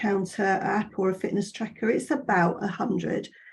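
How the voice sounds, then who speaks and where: Somewhat breathy, a woman talks at a fairly slow pace. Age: 60s. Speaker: fitness instructor. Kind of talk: webinar presentation. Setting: online webinar. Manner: conversational, many fillers.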